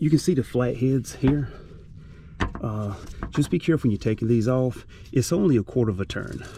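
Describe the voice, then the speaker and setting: A man with a medium pitch and a dark, mellow tone sounds somewhat breathy. He speaks at a fairly quick pace with ordinary pitch variation and long, frequent pauses. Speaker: DIY car mechanic YouTuber. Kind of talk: tutorial. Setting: under a car in a garage. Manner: casual, halting with fillers.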